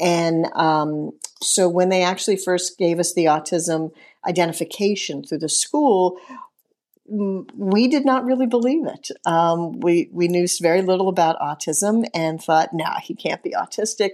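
A woman talks in a plain, everyday voice at medium pitch with ordinary pitch variation. Her pace is moderate, and the background is quiet. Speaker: nonprofit executive director. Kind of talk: casual interview.

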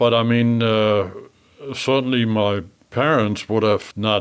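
A man with a German accent speaks at a fairly slow pace, keeping his intonation fairly even. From Germany. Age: 80s+. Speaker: memoir author. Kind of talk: interview. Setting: studio. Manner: halting.

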